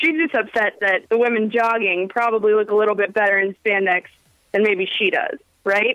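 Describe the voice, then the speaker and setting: A woman's plain, everyday voice at a moderate pace, very even in loudness, with a dry, close sound and no echo. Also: fairly high pitch for a woman, ordinary pitch variation. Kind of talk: radio call-in caller giving opinion. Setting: phone line. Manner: casual, conversational.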